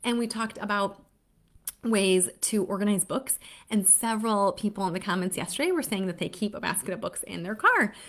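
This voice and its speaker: At a fairly quick pace, a woman talks in an upbeat tone at a medium pitch. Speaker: literacy educator for parents. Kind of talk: live stream talk to parents. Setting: Facebook Live stream. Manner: fast; upbeat, chatty.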